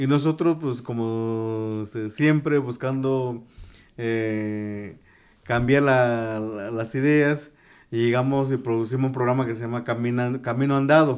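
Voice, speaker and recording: At a very slow pace, a medium-pitched man speaks with fairly even intonation on a very clean recording with a silent background. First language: Tu'un Savi (Mixtec) (speaking Spanish). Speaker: journalist. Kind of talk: interview. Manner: halting, many fillers and restarts.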